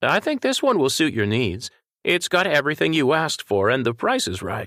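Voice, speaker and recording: Using a put-on character voice, a man talks at a fairly quick pace with a fairly high pitch and very wide pitch swings, in a very clean, silent-background recording with a dry, close sound and no echo. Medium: read story. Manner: polite, friendly.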